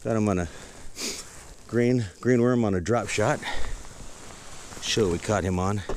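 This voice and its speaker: A man with a fairly low pitch speaks at a very even loudness. He leaves long, frequent pauses over noticeable background noise. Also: ordinary pitch variation, moderate pace. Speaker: fishing vlogger. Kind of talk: casual outdoor vlog commentary. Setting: outdoors on a kayak on a lake.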